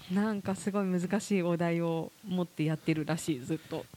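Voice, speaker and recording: Her pitch is fairly low, with ordinary variation. The woman speaks at a fairly quick pace. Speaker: podcast co-host and corporate trainer. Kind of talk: casual chat. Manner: animated.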